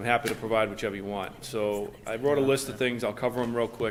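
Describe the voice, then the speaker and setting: A man with fairly even intonation and a medium pitch talks at a fairly quick pace. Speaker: police chief. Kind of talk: report to town board. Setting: town board meeting room. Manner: fast.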